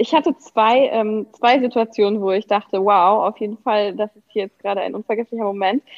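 This woman has an unremarkable speaking voice, fairly high in pitch, at a moderate pace. Her loudness swings widely while her intonation stays fairly even. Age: 30s. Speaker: pregnant guest. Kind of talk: casual interview.

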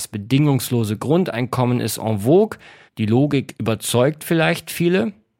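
Lively intonation from a man with a plain, everyday voice, fairly slow pace and medium pitch, on a very clean recording with a silent background. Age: 30s. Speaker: podcast host and author. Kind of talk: scripted narration; interview.

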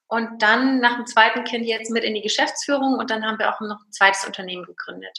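A woman has an unremarkable speaking voice, fairly high in pitch, with fairly even intonation. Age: 30s. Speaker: business owner and coach. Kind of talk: interview.

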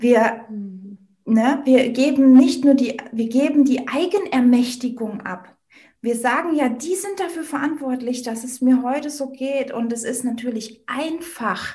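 Delivered at a fairly slow pace with ordinary pitch variation, the voice swings widely in loudness amid audible room echo. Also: woman, high pitch for a woman. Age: 30s. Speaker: network marketer and women's coach. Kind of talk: interview.

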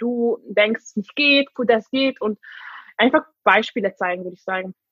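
This woman speaks at a fairly high pitch. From Hungary. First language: Hungarian and English (speaking German). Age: 20s. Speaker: vegan interviewee. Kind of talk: casual chat. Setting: video call.

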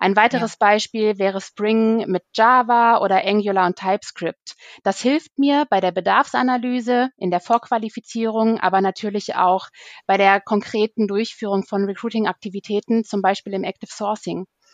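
A woman with a normal speaking voice talks at a moderate pace, her pitch fairly high and her intonation fairly even. The sound is dry and close with no echo, over a quiet background. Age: 30s. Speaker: recruiter. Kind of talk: interview.

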